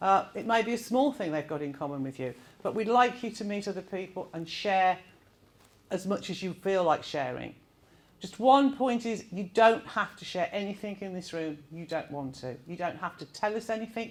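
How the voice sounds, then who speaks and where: A woman with a Birmingham accent at medium pitch, moderate pace, lively intonation, and big swings in loudness. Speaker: event facilitator. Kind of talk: presentation to audience. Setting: room with live audience. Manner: informal, with filler words.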